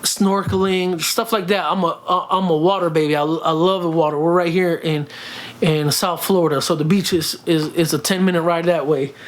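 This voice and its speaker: A man talks at a moderate pace in a high voice, his loudness very even and his intonation fairly even. Noticeable background noise sits behind him. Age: 30s. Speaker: vlogger and fitness journey creator. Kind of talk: casual vlog Q&A. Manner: speaks from the throat, friendly tone; halting, many fillers and repeats.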